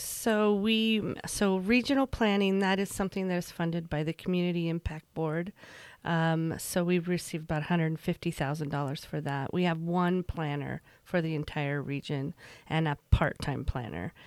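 A normal speaking voice from a woman, fairly low in pitch with ordinary variation, at a moderate pace, on a very clean recording with a silent background. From Utah, rural Emery County (moved from Virginia at 12). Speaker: regional government agency director. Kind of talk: interview conversation.

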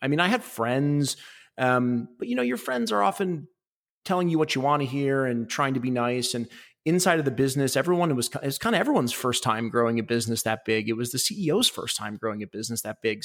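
Speaking very fast, a man of medium pitch talks in a Midwestern American accent. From Ohio, Cleveland area. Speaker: tech sales executive. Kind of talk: interview.

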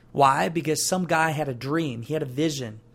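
His voice is fairly high. The man's pitch moves in an ordinary way. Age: 20s. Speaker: podcast host, entrepreneur. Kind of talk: motivational monologue. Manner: animated.

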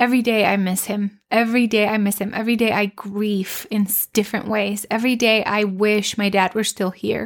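Monotone, flat intonation with hardly any pauses on a very clean recording, silent background. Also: woman, medium pitch for a woman, fairly quick pace. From Mexico. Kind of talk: devotional talk.

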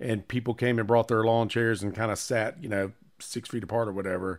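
A man with an American accent and medium pitch talks at a fairly quick pace with fairly even intonation in a plain, everyday voice, captured in a very clean recording with a silent background. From Charlotte, North Carolina. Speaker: podcast co-host. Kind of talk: casual chat. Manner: laughs often.

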